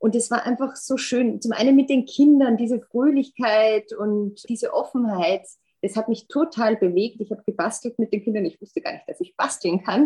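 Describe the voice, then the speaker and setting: At a moderate pace, a woman speaks with a high pitch and ordinary pitch variation. Her tone is dark and mellow. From Austria. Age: 40s. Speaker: insurance executive. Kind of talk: casual interview.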